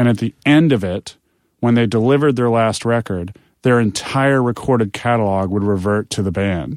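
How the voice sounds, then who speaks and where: The recording is very clean with a silent background and a dry, close sound with no echo, as a man speaks in a normal speaking voice at a medium pitch, moderate pace and ordinary pitch variation. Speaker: music industry professional. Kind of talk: casual interview chat.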